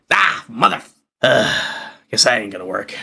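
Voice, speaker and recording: Putting on a raspy character voice, a man speaks at medium pitch. His pace is moderate. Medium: actual play.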